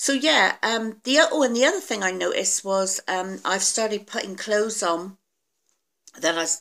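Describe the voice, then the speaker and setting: A woman talks at a moderate pace with lively intonation. Her tone is bright and sharp. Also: quiet background. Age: 50s. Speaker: weight loss vlogger. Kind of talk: casual video diary. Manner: hesitant, many fillers. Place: home room. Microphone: phone near.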